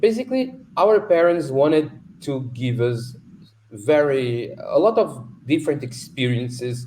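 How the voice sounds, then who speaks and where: Somewhat breathy and fairly high-pitched, a man with a dark, mellow tone talks at a fairly slow pace with lively intonation. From Portugal. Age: 30s. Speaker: concert pianist. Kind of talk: interview. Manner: halting.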